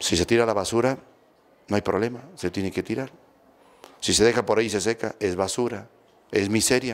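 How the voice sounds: Fairly quick speech from a man, pitched fairly low, with ordinary pitch variation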